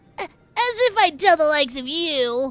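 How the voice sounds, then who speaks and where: A put-on character voice, high in pitch, delivered at a moderate pace. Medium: solo performance. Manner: panicky, stammering.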